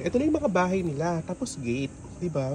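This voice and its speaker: Clear background noise fills the recording. Over it, a man talks in a high voice. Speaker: travel vlogger. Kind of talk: travel vlog narration. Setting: outdoors. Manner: casual, chatty.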